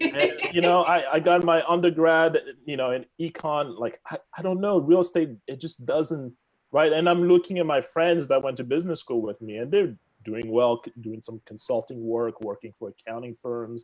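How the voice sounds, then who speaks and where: In a Congolese accent, a man with a fairly high voice speaks at a moderate pace, with lively intonation and big swings in loudness. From Democratic Republic of the Congo. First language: French. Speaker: real estate agent. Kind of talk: podcast interview.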